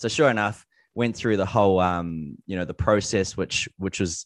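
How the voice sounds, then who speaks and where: With a New Zealand accent, a man speaks at a fairly low pitch with ordinary pitch variation, recorded dry and close with no echo against a quiet background. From New Zealand, Gisborne. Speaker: online entrepreneur. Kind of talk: interview. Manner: casual.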